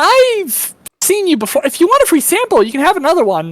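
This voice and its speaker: A woman's put-on character voice, squeaky and extremely high, fairly quick, with very wide pitch swings. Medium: actual play. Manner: sugary, warm.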